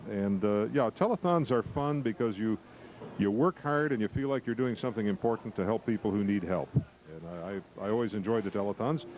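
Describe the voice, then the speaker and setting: An unremarkable speaking voice belongs to a man with an American accent and a medium pitch. He talks at a fairly quick pace with lively intonation and very even loudness. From southern Illinois. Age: 60s. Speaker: TV news anchor. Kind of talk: interview.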